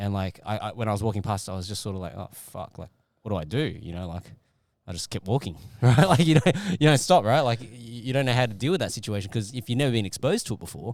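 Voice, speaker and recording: A man in an Australian accent at a very fast pace, in a very clean recording with a silent background. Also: medium pitch for a man, lively intonation, big swings in loudness. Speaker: podcast host. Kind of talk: casual chat.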